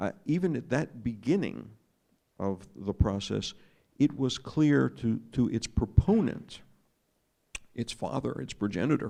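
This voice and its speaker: With an American accent, a man speaks at a medium pitch and a fairly slow pace, using lively intonation, vocal fry, and long, frequent pauses. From United States. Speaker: former diplomat and journalist speaking on a panel. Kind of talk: panel talk. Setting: arts festival panel with audience. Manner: hesitant, frequent fillers.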